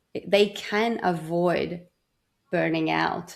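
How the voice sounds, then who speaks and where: This woman speaks in a fairly low pitch on a very clean recording with a silent background. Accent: non-native. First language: not English. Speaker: burnout prevention coach. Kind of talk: interview.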